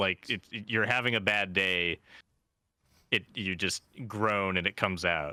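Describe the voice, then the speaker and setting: An American-accented man speaks at a fairly slow pace with a fairly low pitch. His intonation stays fairly even, broken by long, frequent pauses. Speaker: gaming podcast co-host. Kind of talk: casual chat.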